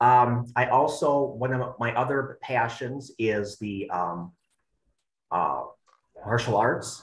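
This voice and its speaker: A man speaks at a medium pitch, somewhat breathy, with ordinary pitch variation. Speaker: extension educator and personal trainer. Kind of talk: webinar presentation. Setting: online webinar. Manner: halting, many fillers and repetitions.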